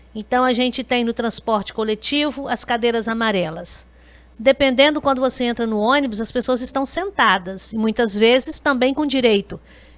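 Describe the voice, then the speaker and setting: Pitch variation is ordinary. The speech keeps a moderate pace. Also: woman, high pitch for a woman. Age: 60s. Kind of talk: podcast interview.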